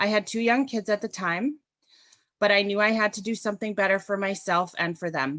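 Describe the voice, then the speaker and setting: Loud and in a Canadian accent, a woman speaks at a medium pitch with a bright, sharp tone and ordinary pitch variation, in a dry, close sound with no echo. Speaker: registered practical nurse and union activist. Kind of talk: prepared speech.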